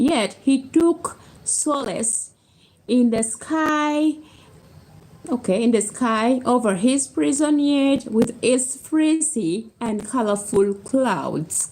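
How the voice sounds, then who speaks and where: Speaking very slowly with a non-native accent, a woman uses a high pitch and lively intonation. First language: not English. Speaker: book reader on video channel. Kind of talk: reading aloud. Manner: halting, stumbling over words.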